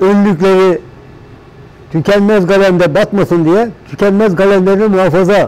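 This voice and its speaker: Here a man speaks with a high pitch. His pace is moderate. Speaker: plastic goods workshop owner. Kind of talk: documentary interview answer. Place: workshop. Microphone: lapel.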